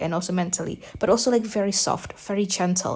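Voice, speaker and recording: Very clean and silent in the background, this recording has a speaker with a non-native accent. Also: woman. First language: not English. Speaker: gaming youtuber. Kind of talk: casual commentary while rewatching video. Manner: rambling with many fillers and repetitions; animated.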